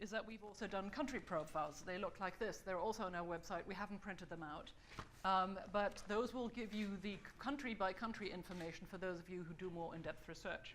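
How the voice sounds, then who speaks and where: A woman speaks at a medium pitch with ordinary pitch variation, and room echo can be heard. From Germany. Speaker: think-tank fellow presenting a survey report. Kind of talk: conference presentation. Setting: conference stage with audience. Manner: fast.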